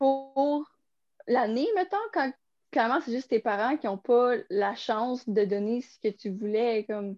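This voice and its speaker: A woman with a Quebec accent speaks at a moderate pace, her fairly high pitch varying in an ordinary way. The sound is dry and close with no echo, over a quiet background. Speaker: podcast co-host. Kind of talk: casual chat.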